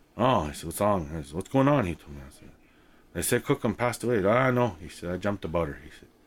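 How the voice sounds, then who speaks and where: A man talks at a very fast clip with vocal fry. His pitch swings very widely. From Saskatchewan, Canada (First Nations reserve). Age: 40s. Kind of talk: storytelling monologue. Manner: casual, with fillers and repetitions.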